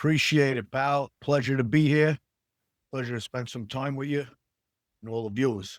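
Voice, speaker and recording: A man with a strong New York accent talks at a moderate pace and medium pitch, with fairly even intonation and long, frequent pauses. The recording is very clean, with a silent background and a dry, close sound with no echo. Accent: strong old-school New York. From New York City, Queens. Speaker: actor. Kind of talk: casual interview chat. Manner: halting, many fillers.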